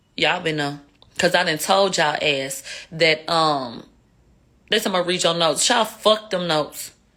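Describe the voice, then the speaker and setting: This woman's voice sits fairly low and sounds animated, with ordinary pitch variation. She leaves long, frequent pauses. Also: moderate pace. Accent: Houston. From Houston, Texas. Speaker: live streamer commentator. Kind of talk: casual livestream commentary. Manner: slurred speech.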